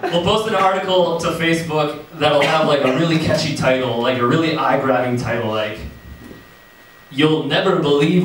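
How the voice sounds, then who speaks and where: Moderately paced speech from a man with a fairly high pitch, ordinary pitch variation, and very even loudness, plus audible room echo and noticeable background noise. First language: not English. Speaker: stand-up comedian. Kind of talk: stand-up. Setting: stage with audience.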